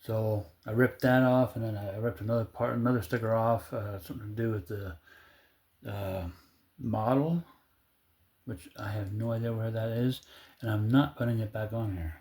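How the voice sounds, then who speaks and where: A man speaks at a moderate pace with fairly even intonation and a somewhat breathy quality. He leaves long, frequent pauses. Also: medium pitch for a man. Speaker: DIY mechanic vlogger. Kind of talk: casual tutorial. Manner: slurred, halting speech from medical condition.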